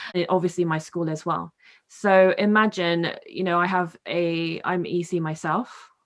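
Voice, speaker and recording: A woman with a British accent speaks at a fairly low pitch in a monotone, flat intonation at a moderate pace against a quiet background. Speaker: podcast co-host. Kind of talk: casual chat.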